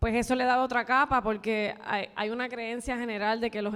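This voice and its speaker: Her intonation stays fairly even as this woman talks in a fairly high register. The background is silent and the recording very clean. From Puerto Rico, Barranquitas. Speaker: film director and screenwriter. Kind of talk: panel talk with audience. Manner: halting, with repetitions.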